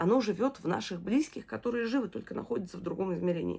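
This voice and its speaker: Very fast speech in a warm tone with vocal fry. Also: woman. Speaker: video diarist, bereaved mother. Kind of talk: personal video diary. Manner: warm, emotional.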